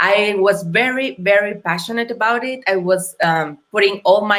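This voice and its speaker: Speaking with a Mexican accent, a woman uses a medium pitch, ordinary pitch variation and a moderate pace. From Mexico. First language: Spanish. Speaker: entrepreneur. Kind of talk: interview. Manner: halting.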